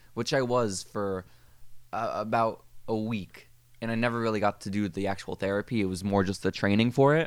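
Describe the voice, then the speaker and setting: In a normal speaking voice, a man talks at a moderate pace with fairly even intonation and a fairly low pitch. The recording is very clean, with a silent background. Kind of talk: casual chat with a mock guided meditation bit. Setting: podcast recording.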